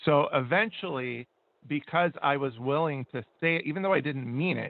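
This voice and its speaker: A man with an unremarkable speaking voice keeps a moderate pace, his fairly high pitch showing ordinary pitch variation. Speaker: radio co-host. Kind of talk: casual chat.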